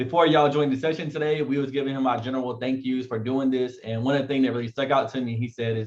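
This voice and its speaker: With an American accent, a man speaks at a very fast pace and medium pitch, flat and monotone, with hardly any pauses. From eastern North Carolina. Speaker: event host. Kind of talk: event introduction.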